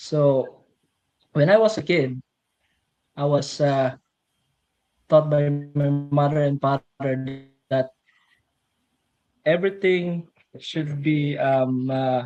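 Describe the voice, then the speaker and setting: A man with a Filipino accent speaks at a very slow pace and fairly high pitch, leaving long, frequent pauses. His intonation stays fairly even over music in the background. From Philippines, rural farming province. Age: 30s. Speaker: millwright mechanic, interview guest. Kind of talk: personal testimony in livestream interview. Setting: live stream. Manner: halting, many fillers.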